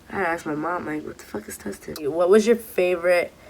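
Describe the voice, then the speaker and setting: With noticeable background noise behind her, a woman with an American accent speaks in a fairly low voice and an animated tone. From Southern California (Orange County / Los Angeles). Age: 20s. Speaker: vlogger. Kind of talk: casual Q&A vlog.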